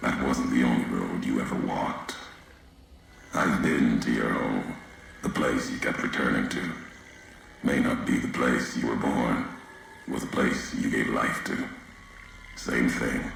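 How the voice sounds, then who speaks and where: A man uses a put-on character voice at a moderate pace, with clear echo and clear background noise. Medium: machinima. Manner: terse, clipped, ominous.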